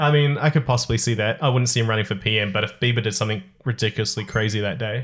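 At a very fast pace, a man talks in a medium pitch with a somewhat breathy voice and fairly even intonation. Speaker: podcast host. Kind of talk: casual chat. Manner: joking.

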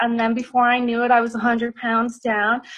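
This woman has a Dublin accent and a high pitch. She talks at a moderate pace. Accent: Irish (Dublin). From Ireland, Dublin. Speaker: nutritional therapist and personal trainer. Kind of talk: interview, casual chat.

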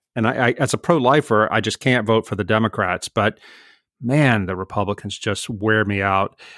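In a dry, close sound with no echo, a man with a fairly low pitch and a plain, everyday voice speaks at a moderate pace with ordinary pitch variation. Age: 50s. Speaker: author and writer. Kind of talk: interview.

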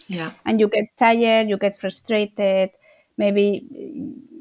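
Over a very clean recording with a silent background, a woman with a Spanish accent speaks at a medium pitch with fairly even intonation, the sound dry and close with no echo. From Spain. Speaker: charity founder and CEO. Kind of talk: interview. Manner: halting.

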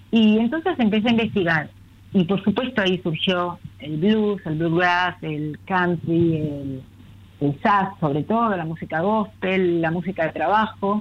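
Speaking fairly slowly, a woman uses an ordinary speaking voice. Her pitch variation is ordinary. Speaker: children's book author. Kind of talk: casual interview.

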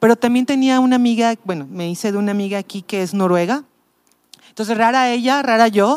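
A woman's fairly high voice, a normal speaking voice, with ordinary pitch variation at a moderate pace. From Mexico City. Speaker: pastor. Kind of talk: casual chat.

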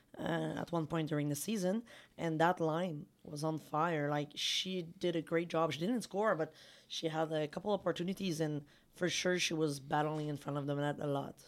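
In a Quebec accent, a woman with a very deep, low pitch speaks at a moderate pace with fairly even intonation on a very clean recording with a silent background. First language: French. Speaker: women's hockey podcast co-host. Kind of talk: casual chat.

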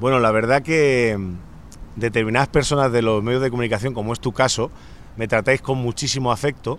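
A man talks in a normal speaking voice. His pitch is medium and his pace fairly quick. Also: fairly even intonation. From Spain, Catalonia (Santa Coloma de Gramenet). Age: 40s. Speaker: singer-songwriter. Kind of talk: radio interview.

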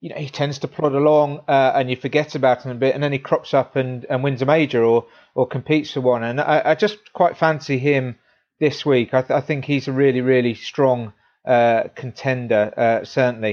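A man with an English accent talks at a moderate pace, his medium-pitched voice keeping a fairly even intonation. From England. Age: 30s. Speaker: golf equipment reviewer. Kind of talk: casual sports chat.

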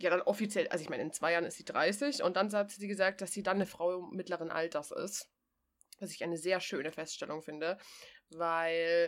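With big swings in loudness, a woman talks in an ordinary speaking voice at medium pitch and a moderate pace. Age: 30s. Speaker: podcast co-host. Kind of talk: casual chat. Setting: remote call with co-host.

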